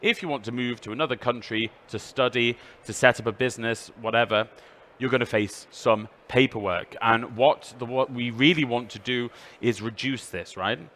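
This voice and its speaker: A man with a British accent, medium pitch, bright, sharp tone, fairly even intonation and big swings in loudness. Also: moderate pace. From UK. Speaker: EU official presenter. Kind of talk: presentation.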